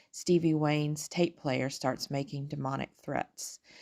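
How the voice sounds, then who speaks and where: On a very clean recording with a silent background, a woman speaks in a calm tone at a moderate pace, her very deep, low voice held to a monotone, flat intonation. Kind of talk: film review voice-over.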